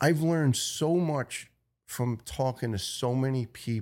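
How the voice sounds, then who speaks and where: Speaking at a fairly slow pace, the man has a medium pitch and ordinary pitch variation. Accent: New York. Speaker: retired firefighter. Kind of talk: interview testimony.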